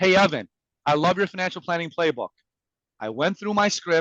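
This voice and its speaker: A man with an Iranian accent speaks at a fairly quick pace in a high voice, his tone animated and his pitch variation ordinary, the sound dry and close with no echo. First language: Farsi. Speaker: sales and communication coach. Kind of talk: presentation to an audience.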